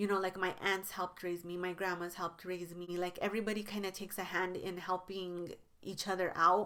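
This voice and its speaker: Her tone is bright and sharp, at a medium pitch for a woman. She speaks at a fairly quick pace with monotone, flat intonation. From New Mexico, US. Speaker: beauty YouTuber. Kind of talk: casual vlog talk to camera. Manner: conversational, many fillers.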